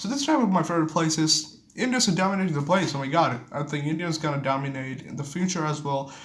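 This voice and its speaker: A man speaks very fast with ordinary pitch variation, accompanied by audible room echo and noticeable background noise. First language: Bengali. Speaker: vlogger. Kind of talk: casual monologue. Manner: halting.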